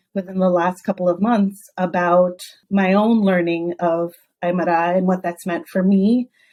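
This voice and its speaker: A woman with a dark, mellow tone speaks at a medium pitch and a fairly slow pace. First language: Spanish. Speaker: educator, podcast guest. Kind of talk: interview. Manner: halting, with many false starts.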